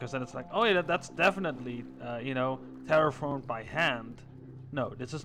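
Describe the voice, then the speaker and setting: A man talks at a fairly quick pace in a medium pitch. His pitch varies in an ordinary way, with noticeable background noise present. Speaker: gaming streamer. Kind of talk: casual gameplay commentary. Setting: live stream. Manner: relaxed, hesitant with fillers.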